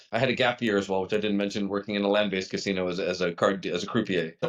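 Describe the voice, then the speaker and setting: A man talks with a Canadian accent. His pace is very fast. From Canada. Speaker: company co-founder. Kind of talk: podcast interview.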